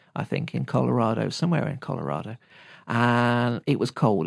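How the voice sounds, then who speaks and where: Someone with a British accent talks at a fairly quick pace on a very clean recording with a silent background. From Britain. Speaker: podcast host and shamanic teacher. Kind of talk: solo teaching talk.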